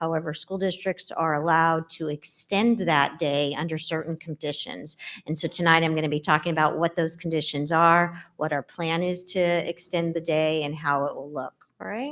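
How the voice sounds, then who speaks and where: Against a quiet background, a woman speaks at a moderate pace in a fairly low pitch with fairly even intonation. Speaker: school administrator presenting to board. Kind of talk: presentation to school board. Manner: loud.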